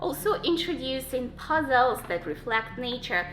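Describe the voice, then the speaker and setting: Noticeable background noise runs under this recording. A woman speaks with a non-native accent at a high pitch. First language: not English. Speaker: Montessori homeschool parent and channel host. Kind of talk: tutorial. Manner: halting, with fillers.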